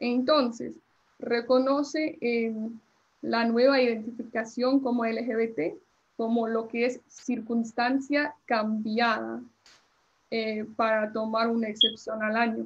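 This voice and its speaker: With an English accent, a woman speaks at a very slow pace, her fairly high pitch carried by fairly even intonation. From US Northeast (New Jersey), born in Colombia. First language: English (speaking Spanish). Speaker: immigration lawyer. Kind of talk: lecture. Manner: halting, many fillers.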